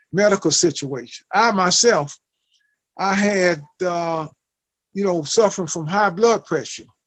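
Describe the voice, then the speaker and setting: A man talks at a fairly slow pace in a high pitch. His intonation stays fairly even over a quiet background. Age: 60s. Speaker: formerly incarcerated person on home confinement. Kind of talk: testimony. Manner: halting, many fillers.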